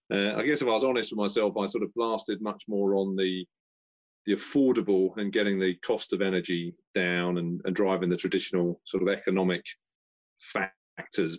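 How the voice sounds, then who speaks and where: A man with a British accent talks at a moderate pace. His pitch is fairly low, and his intonation is fairly even. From UK. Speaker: energy consultant. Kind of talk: casual chat.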